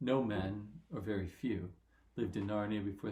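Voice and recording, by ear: A passage is read aloud. The delivery is in a natural voice.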